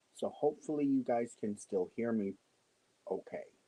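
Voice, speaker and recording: A soft-spoken man's voice, dark and mellow in tone, at a moderate pace with ordinary pitch variation and a dry, close sound with no echo. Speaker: crochet livestream host. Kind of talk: casual live-stream chat. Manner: soft-spoken, lowered voice. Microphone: using a microphone to talk quietly.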